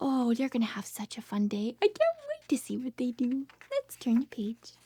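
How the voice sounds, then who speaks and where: Soft-spoken and high-pitched, a woman talks with ordinary pitch variation. The sound is dry and close with no echo, though noticeable background noise comes through. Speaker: speech therapist. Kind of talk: reading aloud. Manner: slow.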